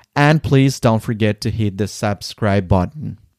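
This man speaks with a Spanish accent at a medium pitch. The sound is dry and close with no echo, on a very clean recording with a silent background. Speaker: podcast host, language teacher. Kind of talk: scripted narration.

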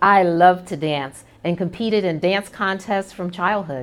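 In a very clean recording with a silent background, a woman with an unremarkable speaking voice and an American accent talks at a moderate pace, her medium pitch showing ordinary variation. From New York City, Brooklyn. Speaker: corporate executive hosting internal podcast. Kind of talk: personal monologue. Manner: warm, conversational.

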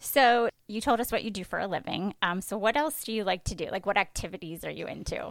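Using a normal speaking voice at medium pitch, a woman talks with ordinary pitch variation and hardly any pauses. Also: fairly quick pace. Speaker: podcast host. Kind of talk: casual interview.

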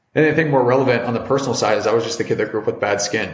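Recorded with audible room echo and noticeable background noise, a man speaks with an American accent. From US Midwest, Cincinnati, Ohio. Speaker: entrepreneur, brand founder. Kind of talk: casual interview chat.

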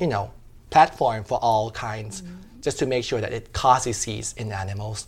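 A man with a Thai accent talks at a moderate pace and medium pitch with vocal fry. His loudness swings widely. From Thailand. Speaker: veterinary pathologist and PhD student. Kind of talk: interview. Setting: conference venue.

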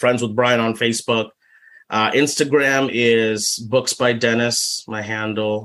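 A man's medium-pitched voice at a moderate pace, with fairly even intonation and an ordinary speaking voice. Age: 40s. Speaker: speech pathologist and children's author. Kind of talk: casual interview.

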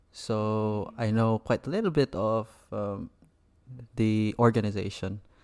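A man talks at a fairly slow pace with a fairly low pitch. He leaves long, frequent pauses, and the sound is dry and close with no echo. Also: very clean recording, silent background. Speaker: podcast host. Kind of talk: interview podcast, casual chat.

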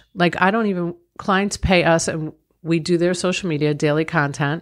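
A plain, everyday voice with an American accent moves at a moderate pace on a very clean recording with a silent background. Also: woman. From Long Island, New York. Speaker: business owner and author. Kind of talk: interview.

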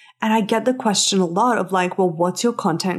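With an animated tone and lively intonation, a woman talks at a medium pitch. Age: 30s. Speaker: podcast host and business coach. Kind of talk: solo podcast monologue.

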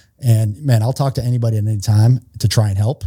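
Somewhat breathy, the voice has a dark, mellow tone and moves at a fairly quick pace. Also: man. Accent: American. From Massachusetts (Worcester). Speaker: retired Navy SEAL, nonprofit founder training police. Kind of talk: podcast interview. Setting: studio.

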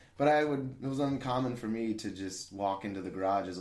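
Lively intonation comes through in an American accent, with audible room echo. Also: man. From central Illinois (small town). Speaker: restaurant server. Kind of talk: interview. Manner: boisterous, laughs often; talkative.

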